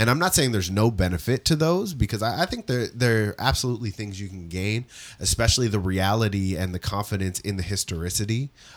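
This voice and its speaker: A man talks in a normal speaking voice at a fairly low pitch with ordinary pitch variation. His pace is fairly quick, and the recording is very clean with a silent background. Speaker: pastoral resident. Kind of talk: casual chat.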